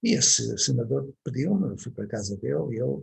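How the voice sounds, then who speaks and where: Speaking in a European Portuguese accent, a man has a medium pitch and vocal fry. His pace is moderate, and the sound is dry and close with no echo. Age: 70s. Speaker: educator. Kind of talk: online talk to parents.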